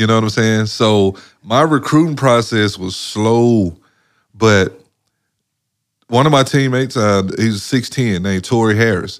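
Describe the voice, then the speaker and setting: At a fairly slow pace with long, frequent pauses, a man talks at medium pitch with ordinary pitch variation. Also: very clean recording, silent background. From Mississippi, US South. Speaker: former professional basketball player. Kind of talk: interview, life story. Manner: casual, many fillers.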